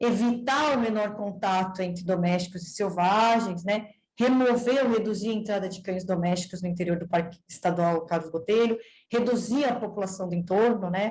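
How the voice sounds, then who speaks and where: A woman speaks at a moderate pace. Her voice is somewhat breathy, with ordinary pitch variation. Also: medium pitch for a woman. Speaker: veterinarian researcher. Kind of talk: seminar presentation.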